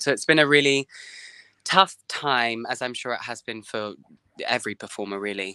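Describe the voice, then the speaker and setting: Over a quiet background, a man with an English accent speaks at a moderate pace, the sound dry with no echo. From England. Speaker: singer. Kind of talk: interview. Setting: video call. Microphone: video call.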